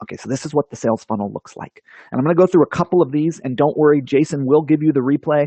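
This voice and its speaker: The speech runs at a very fast pace with ordinary pitch variation. Its loudness swings widely. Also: man, fairly high pitch for a man. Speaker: online marketing presenter. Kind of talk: webinar presentation.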